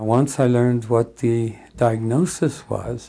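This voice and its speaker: A man talks at medium pitch with fairly even intonation. His is an unremarkable speaking voice. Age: 60s. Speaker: mental health client. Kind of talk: personal testimony.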